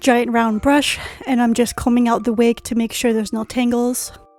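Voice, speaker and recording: Over music in the background, a woman speaks in a high pitch with monotone, flat intonation. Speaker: cosplayer. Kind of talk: casual tutorial voice-over.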